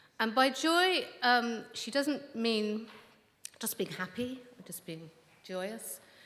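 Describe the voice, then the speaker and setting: Speaking at a very slow pace with lively intonation, the voice has a bright, sharp tone and audible room echo. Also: woman, fairly high pitch for a woman. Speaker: biographer and scholar. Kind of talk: conference lecture. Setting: stage with audience.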